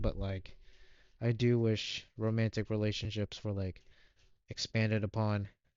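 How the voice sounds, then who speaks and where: Man at a moderate pace, medium in pitch, with monotone, flat intonation. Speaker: gaming youtuber. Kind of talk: casual video game review monologue. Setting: on camera, home recording. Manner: hesitant, stuttering.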